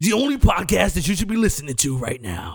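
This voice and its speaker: Putting on a character voice, a man talks at a fairly quick pace with a high pitch and very wide pitch swings. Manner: dramatic, announcer-like.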